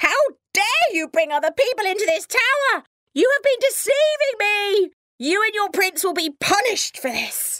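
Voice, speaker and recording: A woman's furious, shouted put-on character voice at an extremely high pitch and a moderate pace. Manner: furious, shouting.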